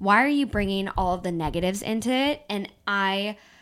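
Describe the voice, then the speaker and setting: Spoken at a fairly quick pace with an American accent, the voice has an animated tone and ordinary pitch variation on a very clean recording with a silent background. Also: woman. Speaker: podcast co-host. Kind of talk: casual chat between friends. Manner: animated, chatty.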